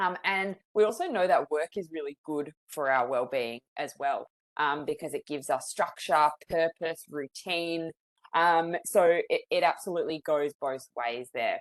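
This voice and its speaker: In a strong Australian accent, a woman speaks at a fairly slow pace and fairly low pitch. Her pitch varies in an ordinary way, and the sound is dry and close with no echo. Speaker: psychologist, webinar presenter. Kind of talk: webinar presentation.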